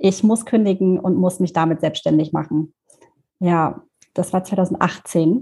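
A woman speaks at a very slow pace, her pitch medium and her intonation fairly even. Her tone is dark and mellow, with a somewhat breathy quality. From Germany, Thuringia (Erfurt). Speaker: social media freelancer. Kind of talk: casual interview.

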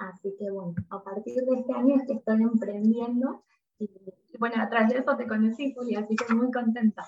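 The woman talks at a moderate pace, her fairly high pitch paired with fairly even intonation. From Argentina. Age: 30s. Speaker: psychologist. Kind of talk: interview conversation.

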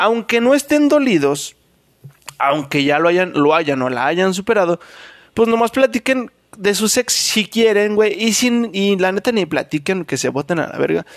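A high-pitched man with a Mexican accent, at a moderate pace with lively intonation. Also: dry, close sound with no echo. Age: 20s. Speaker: podcast host. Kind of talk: casual monologue.

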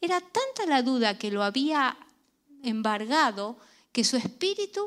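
A woman speaks at a fairly slow pace with lively intonation. She has a plain, everyday voice. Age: 50s. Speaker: pastor. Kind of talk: sermon.

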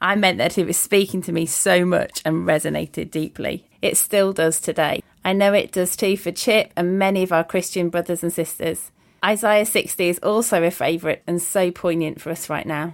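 In an East Midlands accent, a woman with a fairly low voice speaks at a moderate pace with hardly any pauses. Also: fairly even intonation. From Lincolnshire, East Midlands, England. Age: 40s. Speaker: prayer ministry leader. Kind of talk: casual chat. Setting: remote call.

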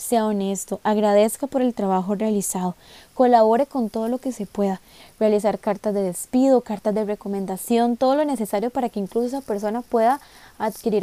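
In a Costa Rican accent, a woman speaks fairly quickly with a fairly high pitch, a dark, mellow tone and fairly even intonation, recorded dry and close with no echo. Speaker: podcast host. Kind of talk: monologue.

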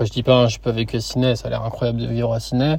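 Here a man is speaking. Background noise is noticeable throughout. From France, Lyon. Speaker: podcaster, working holiday backpacker. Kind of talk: solo podcast monologue. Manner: casual, many fillers and repetitions.

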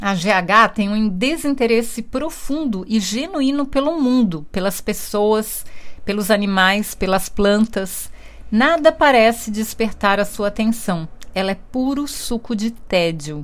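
A woman speaks very slowly at a fairly high pitch with lively intonation, on a very clean recording with a silent background. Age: 50s. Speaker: book reviewer. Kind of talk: book review monologue.

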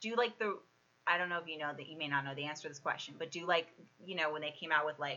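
A woman speaks at a very fast pace with a very deep, low pitch, ordinary pitch variation and big swings in loudness. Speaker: podcast host. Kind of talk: casual chat.

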